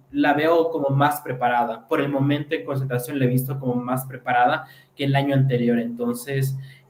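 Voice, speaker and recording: This man's voice sits fairly high, with fairly even intonation at a moderate pace. Room echo can be heard around him. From Quito, Ecuador. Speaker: pageant fan commentator. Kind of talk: live chat. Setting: livestream.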